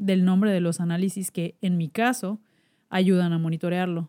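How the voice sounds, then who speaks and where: A woman's medium-pitched voice, dark and mellow in tone, with fairly even intonation and a dry, close sound free of echo. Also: very clean recording, silent background. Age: 30s. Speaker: podcast host, cancer survivor. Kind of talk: personal monologue podcast.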